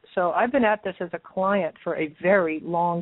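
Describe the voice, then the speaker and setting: A woman speaks at a moderate pace with a fairly low pitch. Hers is an unremarkable speaking voice. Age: 60s. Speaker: clinical nutritionist. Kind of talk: podcast interview.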